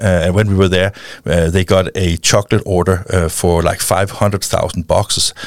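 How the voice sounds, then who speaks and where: A man with a Danish accent and a very deep, low pitch talks at a moderate pace with monotone, flat intonation. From Denmark. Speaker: founder of a printing-industry film channel. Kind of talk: interview. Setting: studio.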